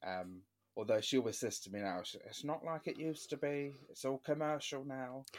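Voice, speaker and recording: With a London accent, a man at medium pitch talks at a moderate pace and with lively intonation. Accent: London-area English. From London area, England. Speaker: podcast host. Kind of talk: casual interview chat.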